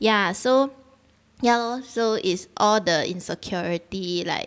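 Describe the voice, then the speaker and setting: A woman with a Singaporean accent speaks at a very slow pace. The recording is very clean, with a silent background. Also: ordinary pitch variation. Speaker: dancer and choreographer. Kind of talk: casual chat. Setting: live-streamed video podcast.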